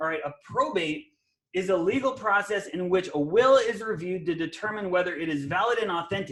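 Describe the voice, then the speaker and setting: Lively in intonation, a man speaks fairly quickly in a high pitch. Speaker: real estate investor and coach. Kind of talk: webinar presentation. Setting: live webinar video call. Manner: fast; animated.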